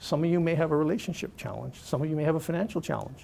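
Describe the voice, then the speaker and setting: A man with a Canadian accent. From Canada (Toronto). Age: 60s. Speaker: motivational speaker, cancer patient and charity fundraiser. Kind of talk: motivational speech.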